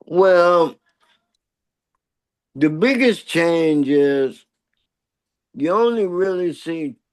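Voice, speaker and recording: Speaking very slowly with long, frequent pauses, a man uses a high voice and lively intonation in an American accent. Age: 60s. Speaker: pioneer street dancer. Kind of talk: interview.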